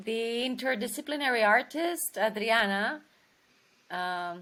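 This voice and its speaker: A woman's voice comes through bright and sharp at a fairly high pitch. The recording is very clean, the background silent. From Romania. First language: Romanian. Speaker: actress. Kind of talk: interview. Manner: halting.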